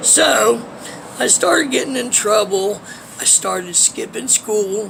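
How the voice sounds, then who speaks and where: Amid noticeable background noise, a man with an American accent speaks in a high pitch with ordinary pitch variation. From Ohio, US Midwest. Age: 40s. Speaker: homeless vlogger. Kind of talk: personal life story monologue. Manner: casual, hesitant with fillers.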